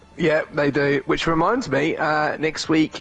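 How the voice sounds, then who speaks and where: A man's fairly high-pitched voice at a fairly slow pace, with music in the background. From Britain. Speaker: esports co-commentator. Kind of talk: live commentary.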